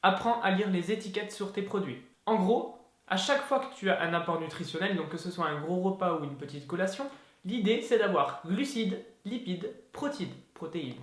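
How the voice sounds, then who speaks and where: With audible room echo, a man speaks in an animated tone at a high pitch, his intonation lively. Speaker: fitness youtuber. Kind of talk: tutorial. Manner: fast; casual, animated.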